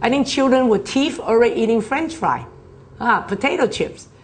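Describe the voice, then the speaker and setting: Vocal fry and an animated tone from a woman at a moderate pace. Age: 60s. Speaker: nutrition product presenter. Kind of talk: health seminar talk.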